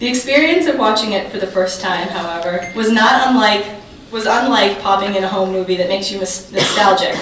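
A woman speaks at a fairly quick pace. Light background noise and audible room echo are present. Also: ordinary pitch variation. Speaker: keynote speaker, journalist. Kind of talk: prepared keynote speech. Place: hall.

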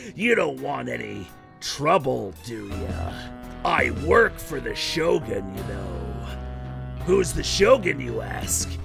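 A man performs a put-on character voice at a fairly slow pace. Clear music plays in the background. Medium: dub. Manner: threatening, mocking.

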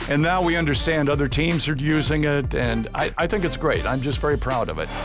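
At a fairly quick pace, a man talks in a dry sound with no echo while clear music plays in the background. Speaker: public address announcer. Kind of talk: casual interview answer, reminiscing about career. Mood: warm, proud, nostalgic. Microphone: headset.

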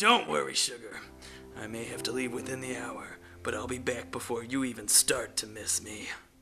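Over clear music in the background, a man puts on a character voice at a medium pitch. He keeps a moderate pace. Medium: machinima. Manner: wisecracking.

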